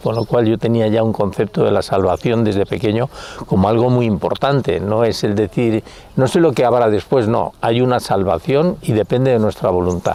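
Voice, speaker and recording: This man keeps a moderate pace with noticeable background noise behind him. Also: medium pitch for a man, ordinary pitch variation, very even loudness. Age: 70s. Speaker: religious convert giving testimony. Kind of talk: testimony. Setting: outdoors.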